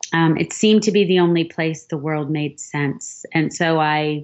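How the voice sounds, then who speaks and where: A woman talks with an American accent at a fairly low pitch. She has a plain, everyday voice. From Philadelphia, US. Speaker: novelist. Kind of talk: podcast interview.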